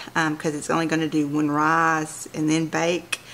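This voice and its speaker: An unremarkable speaking voice at a fairly slow pace, with light background noise. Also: woman. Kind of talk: tutorial. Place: kitchen.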